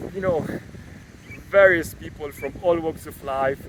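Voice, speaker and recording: The speaker talks at a fairly slow pace with a non-native accent and ordinary pitch variation. Noticeable background noise runs underneath. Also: man. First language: not English. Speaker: data scientist and YouTuber. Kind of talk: casual vlog monologue. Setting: outdoors. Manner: halting, many fillers.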